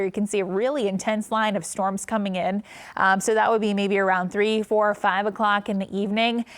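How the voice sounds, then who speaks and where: The speaker talks at a fairly quick pace with an American accent, a monotone, flat intonation and very even loudness. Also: woman, medium pitch for a woman. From Cincinnati, Ohio. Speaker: meteorologist. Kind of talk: severe weather alert coverage.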